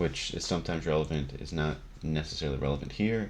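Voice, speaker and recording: Lively in intonation, a man speaks at a fairly quick pace with vocal fry. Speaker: Magic card game content creator. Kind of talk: deck tech explanation. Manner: casual, many fillers.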